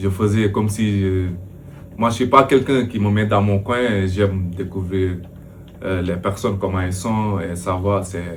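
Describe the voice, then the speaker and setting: Heard with audible room echo, a man with a fairly low pitch talks at a fairly slow pace with fairly even intonation. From Senegal. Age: 30s. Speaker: professional football goalkeeper. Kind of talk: interview. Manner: hesitant, many fillers.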